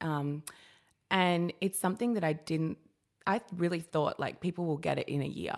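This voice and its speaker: A woman with an Australian accent speaks fairly low at a moderate pace, with ordinary pitch variation. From Australia (Sydney's Sutherland Shire), childhood in New Guinea. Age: 30s. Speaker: journalist and curve model. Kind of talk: casual chat. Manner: animated.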